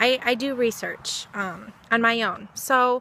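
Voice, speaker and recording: A woman speaks loudly. Her pitch is high. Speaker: vlogger. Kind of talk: personal vlog monologue. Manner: excitable.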